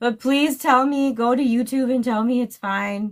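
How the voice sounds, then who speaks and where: A woman is speaking. Her voice is loud. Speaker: true crime YouTuber. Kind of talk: livestream sign-off chat. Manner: animated.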